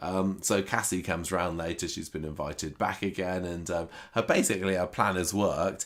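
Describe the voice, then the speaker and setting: With a British accent, a man speaks at a very deep, low pitch and a moderate pace with fairly even intonation, on a very clean recording with a silent background. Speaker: soap opera recap podcaster. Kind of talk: casual chat.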